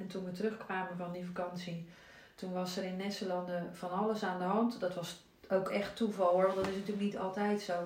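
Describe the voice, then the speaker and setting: Over noticeable background noise and audible room echo, a woman talks at a fairly quick pace in a medium pitch with monotone, flat intonation. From Zeeland, Netherlands (Zierikzee). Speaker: mother and entrepreneur. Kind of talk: casual chat.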